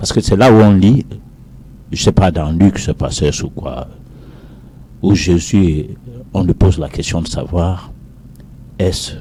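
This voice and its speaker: Speaking very slowly in a very deep, low voice, a man leaves long, frequent pauses, his pitch varying in an ordinary way over noticeable background noise. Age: 60s. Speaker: professor. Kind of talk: heated debate.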